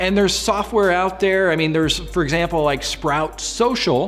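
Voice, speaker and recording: A man is speaking. Music plays in the background. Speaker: small business marketing vlogger. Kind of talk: tutorial. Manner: stuttering.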